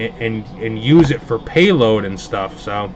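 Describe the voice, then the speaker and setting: A medium-pitched man with an American accent, against noticeable background noise. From Hudson Valley, upstate New York (Pleasant Valley near Poughkeepsie). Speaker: card box breaker, livestream host. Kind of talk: casual livestream chat. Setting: live stream broadcast.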